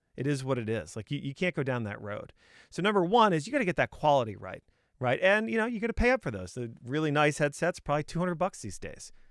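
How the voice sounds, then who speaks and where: A man with a fairly high pitch talks at a very fast pace with very wide pitch swings, with an American accent. The recording is very clean and dry, close with no echo, over a silent background. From New England (Boston). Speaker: sales trainer, cold-calling coach. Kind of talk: casual tutorial talk. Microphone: good studio microphone.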